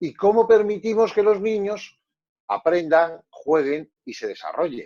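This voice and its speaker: Very slow and high-pitched, a man speaks in a dark, mellow tone. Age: 60s. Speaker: psychologist. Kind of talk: panel discussion.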